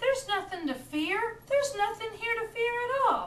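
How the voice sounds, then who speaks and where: A woman puts on a squeaky character voice at an extremely high pitch, with lively intonation and a moderate pace. Background noise is clearly audible. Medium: read story. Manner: bossy, sassy.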